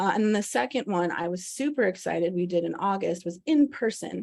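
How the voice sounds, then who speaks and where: In a quiet background, a woman speaks at a moderate pace. She has an unremarkable speaking voice at medium pitch. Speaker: presenter at policy briefing. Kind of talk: presentation.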